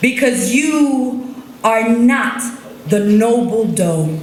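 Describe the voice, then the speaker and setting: With an American accent, a woman speaks in a fairly high pitch and lively intonation over noticeable background noise. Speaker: poet. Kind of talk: slam poetry performance. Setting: live stage.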